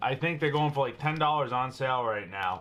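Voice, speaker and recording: A man with a Boston accent speaks at a fairly high pitch and moderate pace. Noticeable background noise can be heard. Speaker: firearms YouTuber. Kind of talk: product tutorial. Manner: casual, chatty.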